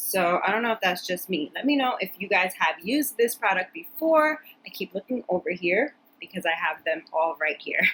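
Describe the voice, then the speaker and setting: This woman's voice sits at a medium pitch and moves through very wide pitch swings. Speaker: beauty vlogger. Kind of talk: product review vlog. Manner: fast; casual, chatty.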